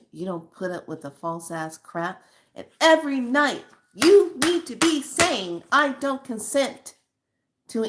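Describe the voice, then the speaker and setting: Her voice swings very widely in pitch, with an animated tone. The woman speaks at a fairly slow pace. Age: 60s. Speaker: spiritual channel host. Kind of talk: spiritual monologue.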